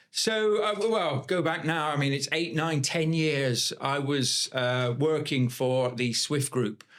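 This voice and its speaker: Through noticeable background noise, a speaker with a West Country accent talks at a very slow pace with hardly any pauses, very even loudness and ordinary pitch variation. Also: man, fairly high pitch for a man. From Bath, south-west England. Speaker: property investor. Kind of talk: podcast interview. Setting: podcast studio.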